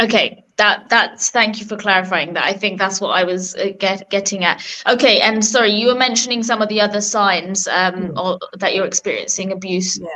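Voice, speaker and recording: Her intonation holds fairly even. This woman talks with a British accent. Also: medium pitch for a woman, moderate pace. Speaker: radio host. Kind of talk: radio interview. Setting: radio studio.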